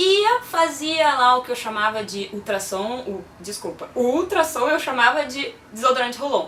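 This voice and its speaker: Over noticeable background noise, a woman with a high pitch speaks in very wide pitch swings. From Brazil, moved around (Pará, Rio, Fortaleza, Minas). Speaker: physiotherapist. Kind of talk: personal talk to camera. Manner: casual, lively storytelling.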